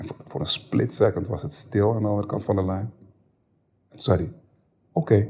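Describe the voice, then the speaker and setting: This man's voice sits fairly low, with a dark, mellow tone and a somewhat breathy quality. He keeps a moderate pace and leaves long, frequent pauses. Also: ordinary pitch variation. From Amsterdam Bijlmer, Netherlands. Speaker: former rapper, podcast guest. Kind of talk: casual interview, personal story. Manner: hesitant, many repetitions.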